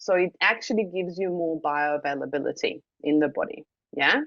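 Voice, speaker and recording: A woman with a non-native accent, speaking at a fairly slow pace. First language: not English. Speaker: wellness device trainer. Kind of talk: online training session. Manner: casual with frequent fillers.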